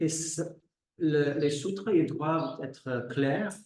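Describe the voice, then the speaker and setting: A man with a dark, mellow tone, somewhat breathy, speaking at a very slow pace amid audible room echo. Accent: English. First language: English (speaking French). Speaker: yoga teacher. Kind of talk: lecture. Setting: live class. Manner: halting.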